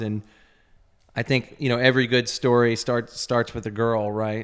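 In a Texan accent, a man talks at a medium pitch and a fairly slow pace. His intonation stays fairly even. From Texas (Azle, near Dallas). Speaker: clothing company founder. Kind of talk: casual interview chat, personal testimony. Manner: halting, many fillers.

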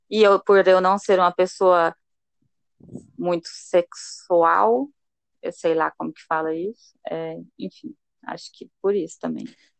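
At a very slow pace with long, frequent pauses, a woman speaks in a fairly low pitch with ordinary pitch variation and big swings in loudness, the sound dry and close with no echo. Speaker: podcast co-host. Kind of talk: casual chat. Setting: remote call with delay. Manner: talkative, interrupts.

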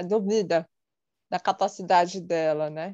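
A woman speaks with a dark, mellow tone and fairly even intonation. Her pace is fairly slow, over a quiet background. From São Paulo, Brazil. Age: 30s. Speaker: psychologist. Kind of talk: casual interview.

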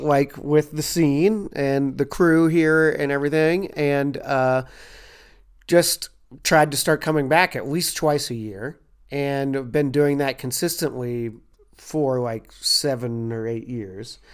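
Someone speaks very slowly in a Kentucky accent, with ordinary pitch variation. The recording is very clean, with a silent background. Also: man, fairly high pitch for a man. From Louisville, Kentucky. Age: 40s. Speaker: comedian. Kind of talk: casual chat.

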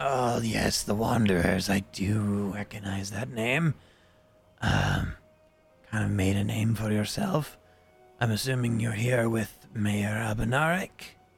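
A man uses a raspy, put-on character voice, fairly low in pitch and fairly slow, with long, frequent pauses. Faint music plays in the background. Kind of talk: rich, formal.

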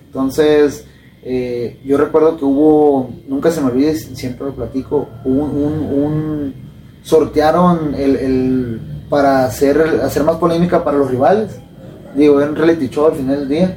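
Noticeable background noise behind a man with a fairly high pitch and fairly slow pace. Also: fairly even intonation. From Sinaloa, Mexico. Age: 20s. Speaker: professional boxer. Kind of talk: casual interview.

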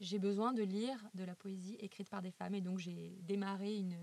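A woman speaks at a moderate pace and medium pitch. Her intonation stays flat and monotone. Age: 30s. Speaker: illustrator. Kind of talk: interview.

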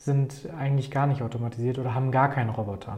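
A man's somewhat breathy, dark and mellow voice, fairly high in pitch, with audible room echo. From Germany, Paderborn. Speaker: startup founder. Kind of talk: interview.

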